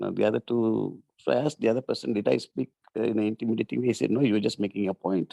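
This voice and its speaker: A man talks at a very fast pace in a fairly low, dark, mellow voice with vocal fry and lively intonation, the sound dry and close with no echo. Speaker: workshop participant. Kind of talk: group discussion. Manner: loud.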